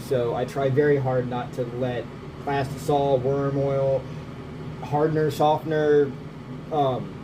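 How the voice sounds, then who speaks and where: Both noticeable background noise and audible room echo are present in this clip. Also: man. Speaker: bait maker. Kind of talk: casual tutorial. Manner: casual, rambling chatter.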